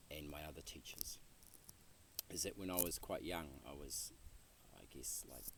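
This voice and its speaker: A man with a very deep, low pitch and vocal fry shows ordinary pitch variation and big swings in loudness. Long, frequent pauses and audible room echo fill the clip. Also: moderate pace. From New Zealand, rural North Island. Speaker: interviewee, Buddhist practitioner. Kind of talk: interview. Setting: outdoor retreat land, Western Massachusetts. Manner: halting, many fillers and repeats.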